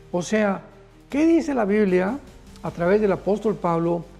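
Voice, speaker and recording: High pitch marks this man's voice. Behind him, music is playing. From Mexico. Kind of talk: sermon / prophetic news teaching.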